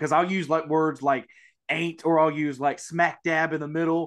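Speaking with a Mississippi accent, a man uses a fairly bright tone and fairly even intonation. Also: fairly high pitch for a man, moderate pace. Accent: Southern US, Mississippi.

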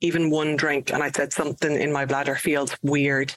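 The speaker talks in an Irish accent. The pace is moderate. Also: woman. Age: 40s. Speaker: podcast co-host. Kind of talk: casual chat.

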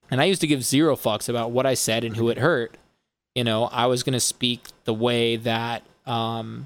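It is a normal speaking voice at a moderate pace. The intonation stays fairly even. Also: man. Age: 20s. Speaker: music producer and DJ hosting a podcast. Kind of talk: casual chat. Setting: live-streamed podcast.

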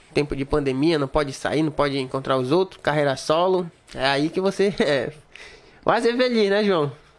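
Animated in tone, this man speaks at a moderate pace with lively intonation. His pitch is fairly high. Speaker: podcast host. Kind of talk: casual chat.

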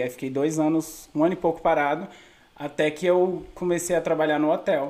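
Pitched fairly high, a man talks in a monotone, flat intonation. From Brasília satellite cities, Brazil. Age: 20s. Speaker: comedian. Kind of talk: casual chat.

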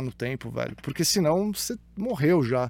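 Very wide pitch swings in a man's moderately paced speech. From Santos, São Paulo state, Brazil. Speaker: YouTuber, pop culture commentator. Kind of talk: casual chat. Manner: halting.

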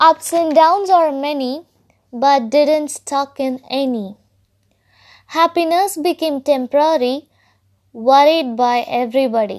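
On a very clean recording with a silent background, a woman with a high voice speaks at a fairly slow pace, using ordinary pitch variation and long, frequent pauses. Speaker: podcaster and amateur poet. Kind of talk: poem performed, read aloud as a rhyming love letter. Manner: earnest, gently lilting, rhythmic, sing-song cadence; hesitant, halting and shy.

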